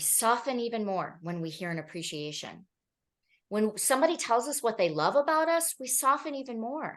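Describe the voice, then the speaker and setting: Loudness swings widely and the pitch swings very widely at a moderate pace. The background is quiet. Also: woman, fairly high pitch for a woman. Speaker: therapist presenting at a workshop. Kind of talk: presentation.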